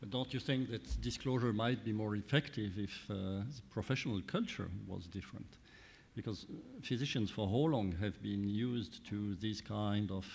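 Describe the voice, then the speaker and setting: The voice keeps a moderate pace with ordinary pitch variation. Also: man. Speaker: law professor, panel moderator. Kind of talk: panel moderation. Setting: stage with audience. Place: hall. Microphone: podium.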